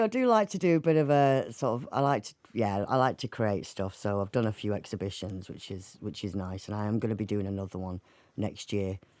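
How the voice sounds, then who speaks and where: Speaking at a fairly quick pace in a Mancunian accent, this voice has lively intonation and big swings in loudness. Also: woman, very deep, low pitch for a woman. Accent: northern English (Mancunian), kept. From Manchester, northern England. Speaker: singer, actor and writer. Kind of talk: radio interview.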